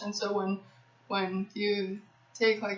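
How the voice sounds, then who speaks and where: Amid noticeable background noise, a woman speaks at a very slow pace with a medium pitch. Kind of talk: casual talk to camera, Q&A. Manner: stuttering.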